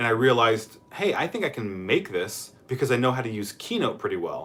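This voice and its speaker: Delivered at a fairly quick pace with lively intonation, this voice has an American accent, and noticeable background noise sits behind it. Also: man, medium pitch for a man. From US Midwest, Columbus. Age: young. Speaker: YouTuber answering viewer questions. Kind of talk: live stream Q&A. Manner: casual, hesitant with fillers.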